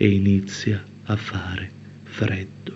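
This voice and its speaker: A man's fairly low, monotone, flat voice at a very slow pace. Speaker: poet. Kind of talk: poet spoken word, confessional poem.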